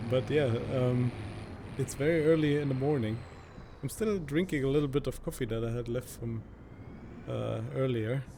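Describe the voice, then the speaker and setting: A man in a strong German accent, somewhat breathy with a dark, mellow tone, ordinary pitch variation and long, frequent pauses. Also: medium pitch for a man, moderate pace. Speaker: gaming YouTuber. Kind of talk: gameplay commentary. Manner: casual, hesitant with many fillers.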